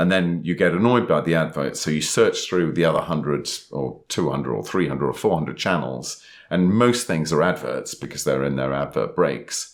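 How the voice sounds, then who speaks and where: Vocal fry and lively intonation in a man's very deep, low voice, delivered at a moderate pace. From England. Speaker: podcast co-host and author. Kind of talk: casual chat. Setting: recording in person, sitting next to co-host.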